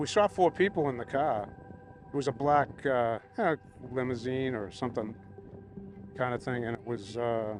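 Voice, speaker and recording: Music plays in the background as a man speaks at a moderate pace with ordinary pitch variation and long, frequent pauses. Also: medium pitch for a man. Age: 60s. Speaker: festival attendee sharing a sighting. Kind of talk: casual interview. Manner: halting.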